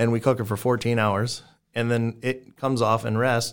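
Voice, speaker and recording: This man has an unremarkable speaking voice at a medium pitch, with an American accent. He talks at a fairly quick pace with fairly even intonation, in a very clean recording with a silent background. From South Texas. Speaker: barbecue restaurant owner and pitmaster. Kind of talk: casual interview.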